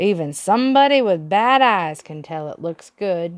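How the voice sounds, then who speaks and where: Delivered at a moderate pace, the put-on character voice moves through very wide pitch swings. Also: woman, medium pitch for a woman. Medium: read story. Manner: dry, folksy.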